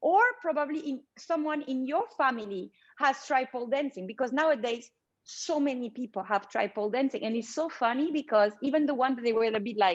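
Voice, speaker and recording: Her voice sits high, and the intonation is lively. This woman talks at a moderate speed. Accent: French. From France. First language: French. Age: 30s. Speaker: pole dancer. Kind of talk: interview. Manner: halting.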